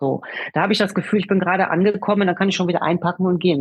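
A woman at medium pitch, very fast, with ordinary pitch variation. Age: 50s. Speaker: self-help group leader. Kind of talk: interview. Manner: hesitant, many fillers.

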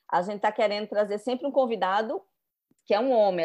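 Talking at a very fast pace, a woman uses a fairly high pitch with ordinary variation and a dark, mellow tone. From Recife, Brazil. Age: 40s. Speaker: journalist and writer. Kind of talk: casual interview chat. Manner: animated.

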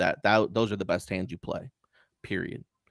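Recorded with a dry, close sound and no echo, a man talks at a fairly low pitch in a bright, sharp tone with fairly even intonation. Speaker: poker dealer and streamer. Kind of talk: casual interview.

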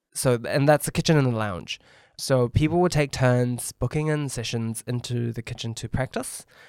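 A man with a New Zealand accent speaks at a medium pitch and moderate pace, with ordinary pitch variation. The sound is dry and close, with no echo, on a very clean recording with a silent background. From New Zealand, Auckland. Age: 30s. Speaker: chef and former barista champion. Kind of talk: casual chat.

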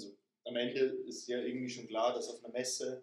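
A man talks at a fairly quick pace. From Lower Bavaria (Straubing). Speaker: personal trainer. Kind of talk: casual chat.

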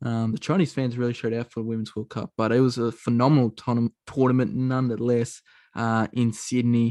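A man in an Australian accent talks at a fairly quick pace and a medium pitch, with monotone, flat intonation. The sound is dry and close with no echo, and the background is quiet. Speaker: basketball podcast host. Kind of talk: casual chat.

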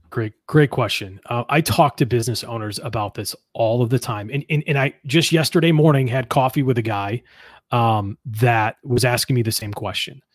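With an American accent, a man speaks at a medium pitch in a somewhat breathy voice with ordinary pitch variation, recorded dry and close with no echo against a silent background on a very clean recording. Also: moderate pace. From Western New York (Buffalo area). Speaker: entrepreneur and business mentor. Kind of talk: interview.

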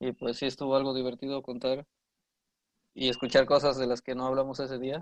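In a dry, close sound with no echo, a man speaks at a medium pitch with monotone, flat intonation and long, frequent pauses. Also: fairly quick pace, quiet background. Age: 20s. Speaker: university student. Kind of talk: casual chat.

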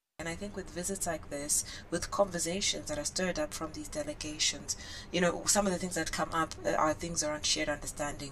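A woman talks at a very fast pace in a fairly low pitch with ordinary pitch variation. Noticeable background noise runs under her voice. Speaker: author and businesswoman. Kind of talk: casual interview chat.

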